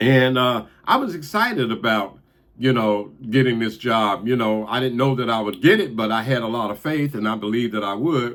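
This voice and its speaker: This man's voice has a medium pitch with ordinary variation. He talks at a moderate pace. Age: 60s. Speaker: motivational video host, long-time bus driver. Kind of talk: motivational monologue. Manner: casual, halting with fillers.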